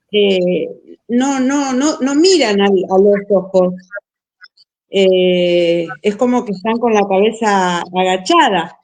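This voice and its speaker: A woman with a Buenos Aires accent and medium pitch speaks at a very slow pace with lively intonation. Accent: porteño Argentine Spanish. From Buenos Aires, Argentina. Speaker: missionary teacher. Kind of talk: casual chat.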